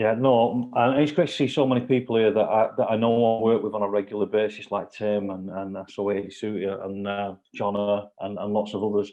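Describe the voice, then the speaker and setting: Speaking with a Lancashire accent, a man talks at a fairly quick pace with hardly any pauses, fairly even intonation, and a fairly low pitch. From northern England, Lancashire. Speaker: football club executive. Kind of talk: testimony.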